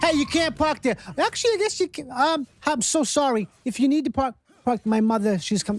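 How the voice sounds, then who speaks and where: A put-on, gruff, high-pitched character voice in a Boston accent goes along at a moderate pace. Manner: gruff then sheepish and sweet.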